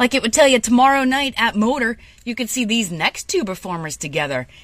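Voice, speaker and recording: With a warm, playful tone, a woman speaks at a very fast pace with lively intonation. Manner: warm, casual, playful, upbeat late-night radio banter; relaxed and folksy, self-deprecating, addressing listeners as 'kids'.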